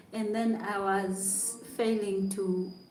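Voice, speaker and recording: A woman's medium-pitched, monotone, flat delivery amid audible room echo and noticeable background noise. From Uganda. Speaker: YouTuber, content creator. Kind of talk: casual livestream chat. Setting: hotel room.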